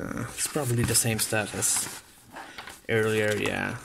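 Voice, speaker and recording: With noticeable noise in the background, the talking proceeds at a moderate speed. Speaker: hobby YouTuber opening trading card packs. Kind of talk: casual unboxing video. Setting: at home late at night. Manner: quiet, trying not to be loud; hesitant, many fillers. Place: home room. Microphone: phone near.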